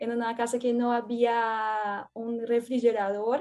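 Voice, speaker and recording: This woman's voice is high in pitch with a dark, mellow tone. Her intonation stays monotone and flat. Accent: Portuguese. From Brazil, São Paulo. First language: Portuguese (speaking Spanish). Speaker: former exchange student, researcher. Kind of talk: casual interview. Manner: halting.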